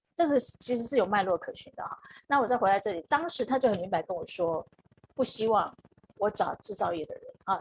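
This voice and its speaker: Somewhat breathy, a woman talks at a fairly quick pace with lively intonation. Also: big swings in loudness. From Taiwan. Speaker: HR consultant. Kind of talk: live-stream interview.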